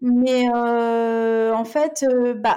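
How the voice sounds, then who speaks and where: Her voice has a dark, mellow tone. This woman speaks at a high pitch. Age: 30s. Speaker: influencer. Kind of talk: casual chat.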